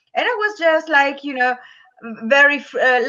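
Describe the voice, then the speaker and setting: The speaker has an Italian accent. The pace is fairly slow. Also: woman. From Italy. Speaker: business and lifestyle coach. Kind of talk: interview. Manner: halting.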